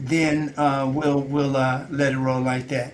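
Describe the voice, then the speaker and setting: A man speaks in a fairly high voice, with audible echo from the room. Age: 70s. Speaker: nutritionist show host. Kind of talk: health talk show discussion. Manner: halting, many fillers.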